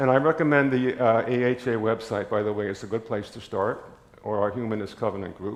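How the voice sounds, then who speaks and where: Audible room echo carries this man's voice. He speaks at a fairly quick pace and a medium pitch. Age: 80s+. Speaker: lay preacher. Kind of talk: sermon. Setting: church.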